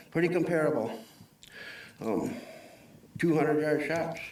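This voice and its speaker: There is audible room echo around a man's voice. He speaks at a moderate pace with a fairly high pitch. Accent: Upper Midwest. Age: 60s. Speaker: public commenter. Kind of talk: public comment at a county board meeting. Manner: halting, many fillers.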